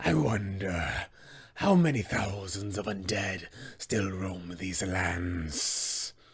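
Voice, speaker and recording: A man speaks very slowly in a put-on character voice with a very deep, low pitch. The recording is very clean, with a silent background. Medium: tutorial demo. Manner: menacing, commanding.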